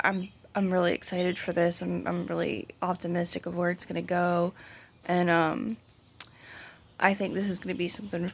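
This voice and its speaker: Putting on a raspy character voice at a fairly low pitch, a woman speaks at a moderate pace with long, frequent pauses. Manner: excited, optimistic.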